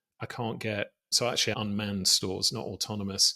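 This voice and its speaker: With a British accent, a man talks at a fairly quick pace in a bright, sharp tone. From British Isles. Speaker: podcast host. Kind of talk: podcast interview.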